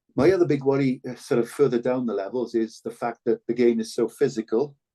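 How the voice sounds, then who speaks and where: In a Cardiff accent, a man talks at a very fast pace with a dark, mellow tone and medium pitch. His intonation is fairly even, and the sound is dry and close with no echo. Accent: Cardiff Welsh English. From Wales, Ely in Cardiff. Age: 60s. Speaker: former rugby player and broadcaster. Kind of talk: podcast interview. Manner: hesitant with frequent repetitions.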